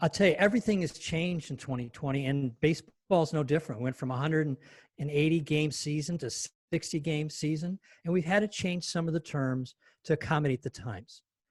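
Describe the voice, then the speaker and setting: A man's somewhat breathy, fairly high voice at a fairly quick pace, with ordinary pitch variation and a dry, close sound with no echo against a quiet background. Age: 70s. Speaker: stand-up comedian. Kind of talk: stand-up. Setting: video call.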